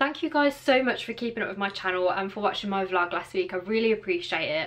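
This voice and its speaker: A woman talks at a very fast pace with lively intonation. She has a British accent. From England. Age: 20s. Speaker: vlogger. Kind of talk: casual talk to camera. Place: home room. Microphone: phone near.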